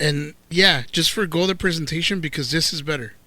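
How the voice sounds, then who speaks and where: A man with a Spanish accent speaks in a high pitch with a bright, sharp tone and fairly even intonation. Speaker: cooking channel host, professional cook. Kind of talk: cooking tutorial. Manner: casual, joking.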